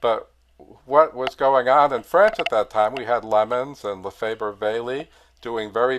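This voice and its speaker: A man with an American accent and a normal speaking voice, medium in pitch, with ordinary pitch variation and a moderate pace. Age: 60s. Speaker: organist and choir director. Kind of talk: lecture. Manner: casual, with many fillers.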